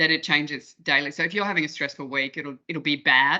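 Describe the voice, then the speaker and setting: Someone with an Australian accent talks at a fairly quick pace against a quiet background. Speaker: breathwork workshop facilitator. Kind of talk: online workshop discussion. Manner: fast.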